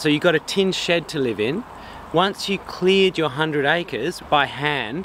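A man at a moderate pace, in a dry sound with no echo and light background noise. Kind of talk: casual explanatory chat. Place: open country.

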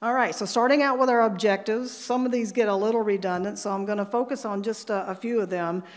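At a very fast pace, a woman speaks with fairly even intonation over a quiet background. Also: fairly high pitch for a woman, hardly any pauses. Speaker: climate scientist; conference presenter. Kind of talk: conference presentation. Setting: stage with audience. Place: hall.

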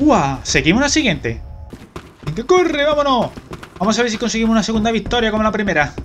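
A high-pitched man at a very fast pace, with very wide pitch swings and long, frequent pauses, amid noticeable background noise. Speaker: gaming youtuber. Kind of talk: live gameplay commentary. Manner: animated.

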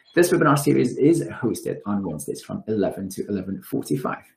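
A man speaks against a quiet background, with audible room echo. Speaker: webinar host and director. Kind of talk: formal webinar introduction and moderation. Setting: video call webinar. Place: home room. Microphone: webcam.

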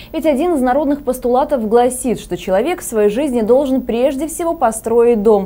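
High in pitch, a woman speaks with lively intonation. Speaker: news anchor. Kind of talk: news reading. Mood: calm formal. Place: studio. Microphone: lapel.

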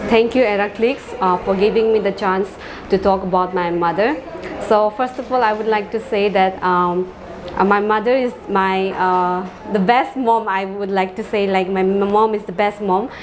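A woman talks with fairly even intonation and a moderate pace while noticeable background noise carries on. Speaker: assistant professor interviewee. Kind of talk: interview answer. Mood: warm, grateful. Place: empty room. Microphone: handheld.

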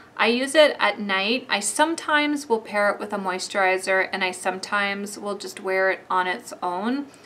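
Over light background noise, a woman talks at a moderate pace in a medium pitch, her tone bright and sharp, with ordinary pitch variation. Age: 40s. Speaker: beauty vlogger. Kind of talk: product review. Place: home room.

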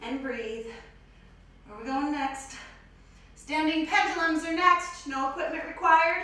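A woman's raised, projected voice at a fairly slow pace, with ordinary pitch variation, big swings in loudness and strong room echo. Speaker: fitness instructor. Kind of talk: workout tutorial. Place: gym.

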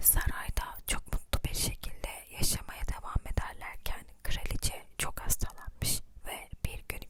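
The delivery is fairly slow. Every word is whispered. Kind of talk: close-whisper ASMR fairy-tale reading. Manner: whispered, soft, slow.

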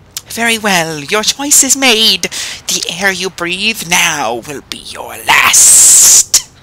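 In a put-on character voice, a man hisses his words at a high pitch and a very slow pace. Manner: hissing, snake-like.

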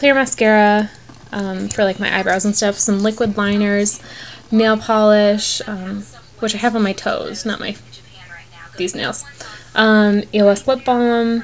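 Over light background noise, a woman speaks fairly slowly in a flat monotone with long, frequent pauses. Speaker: beauty vlogger. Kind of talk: casual vlog chat. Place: home room. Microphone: phone near.

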